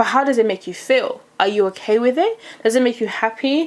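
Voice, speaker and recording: A woman's voice with a high pitch. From DR Congo, raised in UK. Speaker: YouTuber. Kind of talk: casual chat. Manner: fast; loud.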